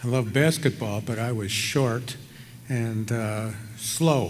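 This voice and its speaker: A man speaks at a medium pitch with an American accent. Audible echo from the room surrounds his voice. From Chicago, US Midwest. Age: 70s. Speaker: retired surgeon, hall of fame inductee. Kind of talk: acceptance speech. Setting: ballroom stage with audience. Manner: hesitant, many fillers.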